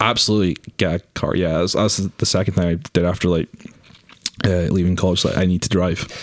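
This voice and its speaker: A man talks at a very fast pace in a very deep, low voice, monotone and flat, at a very even loudness. The sound is dry and close with no echo, though there is noticeable background noise. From Scotland, Aberdeen. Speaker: film camera trainee. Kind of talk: casual chat.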